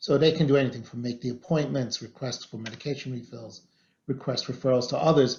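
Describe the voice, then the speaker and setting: A man speaks at a very fast pace and a medium pitch. His voice is somewhat breathy. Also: fairly even intonation. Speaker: physician presenter. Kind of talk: webinar presentation. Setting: virtual webinar. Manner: soft-spoken.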